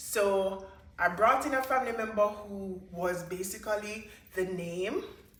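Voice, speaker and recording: With audible room echo, a woman speaks at medium pitch and a fairly slow pace, using ordinary pitch variation. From Jamaica. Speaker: hairstylist and hair business owner. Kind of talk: personal story vlog.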